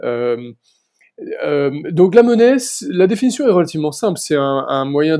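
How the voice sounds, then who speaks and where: A man's dark, mellow tone at a moderate pace. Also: quiet background. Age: 40s. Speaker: senior civil servant and bitcoin researcher; interview guest. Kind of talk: interview. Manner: hesitant with fillers. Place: home room. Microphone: earbuds.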